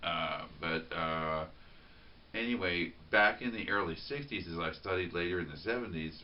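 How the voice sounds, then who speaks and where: Against audible room echo, a man with an American accent speaks at a moderate pace in a very deep, low pitch. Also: ordinary pitch variation. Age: 50s. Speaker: vlogger. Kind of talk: spontaneous monologue. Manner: halting, many repetitions and fillers.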